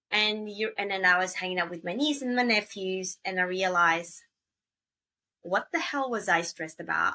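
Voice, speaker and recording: A woman's bright, sharp, medium-pitched voice in an Australian accent, at a moderate pace with ordinary pitch variation. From Australia, Gold Coast. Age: late 30s. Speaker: traveler and podcaster. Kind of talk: casual interview chat.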